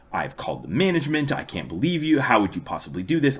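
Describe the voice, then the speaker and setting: A man's put-on character voice, fairly high in pitch and very fast. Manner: lecturing, indignant.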